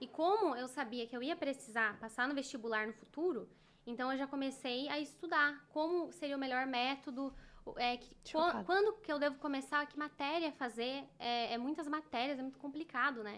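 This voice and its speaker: A woman's high voice, with ordinary pitch variation at a moderate pace. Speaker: podcast guest. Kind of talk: interview answer. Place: studio. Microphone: studio mic.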